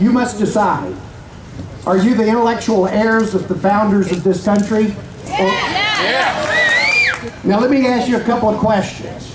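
A man's high voice with an American accent, at a fairly slow pace, over noticeable background noise. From Virginia, US. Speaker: rally speaker. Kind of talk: rally speech. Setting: outdoor rally with crowd. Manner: formal, rhetorical. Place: street.

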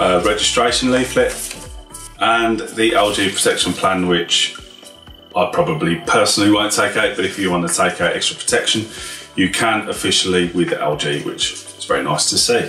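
A man talks at a moderate pace. Audible room echo and faint music sit in the background. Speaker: tech reviewer. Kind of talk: unboxing tutorial. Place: office.

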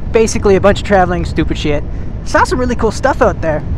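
Recorded dry with no echo, a man speaks over noticeable background noise. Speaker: vlogger. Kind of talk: casual vlog chat. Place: motorbike.

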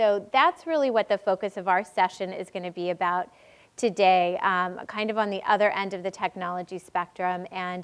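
A woman's intonation stays fairly even while she speaks at a moderate pace. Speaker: panel moderator. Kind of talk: panel introduction. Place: stage. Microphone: lapel.

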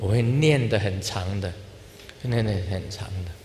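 Against light background noise, a man speaks at a fairly low pitch with fairly even intonation. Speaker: Buddhist spiritual leader. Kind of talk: informal dharma talk to an audience. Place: hall. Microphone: handheld.

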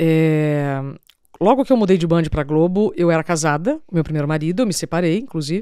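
A woman with a fairly low pitch and a dark, mellow tone talks at a moderate pace with lively intonation. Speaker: TV journalist. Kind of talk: casual chat.

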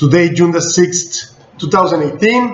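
With a Spanish accent, a man talks in a high pitch, and audible room echo surrounds his voice. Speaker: business news blogger. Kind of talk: news bulletin. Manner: halting. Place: office. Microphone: webcam.

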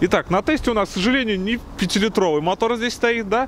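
There is light background noise behind a man recorded in a dry sound with no echo. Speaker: car reviewer. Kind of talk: car review commentary. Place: street.

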